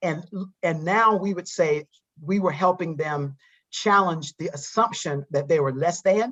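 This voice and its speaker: A woman's fairly low voice with a Southern US accent, fairly slow, with ordinary pitch variation. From US South, eastern North Carolina. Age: 60s. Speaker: psychologist and diversity trainer. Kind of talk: interview. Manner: halting.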